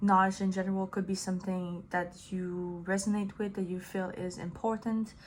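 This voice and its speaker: Here a woman speaks at a medium pitch and a moderate pace. Her voice is somewhat breathy. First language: French. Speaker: tarot reader. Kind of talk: tarot reading monologue. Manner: casual, hesitant with fillers.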